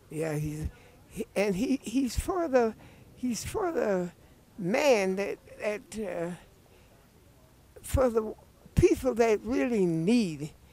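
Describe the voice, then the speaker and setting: Very slow pace with long, frequent pauses over noticeable background noise. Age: 80s+. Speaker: voter. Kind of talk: street interview. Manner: halting.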